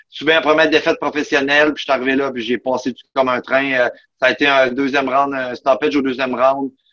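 With flat, monotone intonation, a man of medium pitch speaks very fast in a bright, sharp tone. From Quebec, Outaouais (Buckingham). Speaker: mixed martial arts fighter. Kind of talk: interview.

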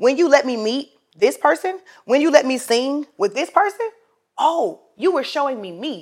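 An animated tone with very wide pitch swings. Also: woman, high pitch for a woman, moderate pace. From US South, South Carolina. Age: 20s. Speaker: podcast host and ministry coach. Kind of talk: casual faith-based monologue.

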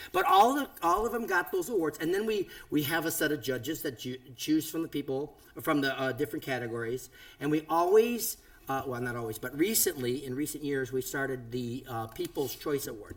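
A man talks in a plain, everyday voice, fairly high in pitch. His intonation is lively and his pace fairly quick. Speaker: podcast host, former radio DJ. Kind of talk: casual chat. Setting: home studio.

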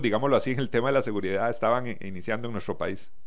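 A man speaks with ordinary pitch variation, and audible room echo hangs on his voice. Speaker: radio host. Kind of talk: interview.

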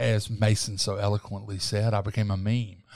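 In a very clean recording with a silent background, a man talks with a Southern US accent. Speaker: talk show host and journalist. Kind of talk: casual interview.

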